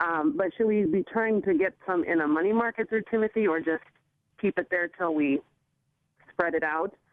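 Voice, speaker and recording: A woman speaks at a moderate pace in an ordinary speaking voice, medium in pitch, with lively intonation and very even loudness. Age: 30s. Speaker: caller. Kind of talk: phone-in question.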